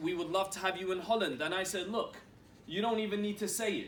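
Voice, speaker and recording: A man talks at a very fast pace with fairly even intonation, with audible room echo and noticeable background noise. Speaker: network marketing executive. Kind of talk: motivational talk. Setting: stage with audience.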